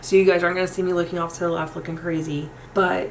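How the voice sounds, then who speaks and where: Against noticeable background noise and audible room echo, a woman with an American accent speaks in a fairly low, flat, monotone voice. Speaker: makeup youtuber. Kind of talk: tutorial. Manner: fast; casual, chatty.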